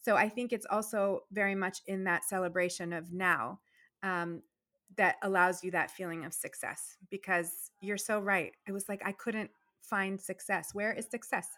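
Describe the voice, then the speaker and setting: In a very clean recording with a silent background, a woman with an American accent speaks at a moderate pace in a bright, sharp tone. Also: medium pitch for a woman, fairly even intonation. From Virginia, US, Persian family. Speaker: dentist and entrepreneur guest. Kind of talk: casual interview chat. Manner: warm, effusive.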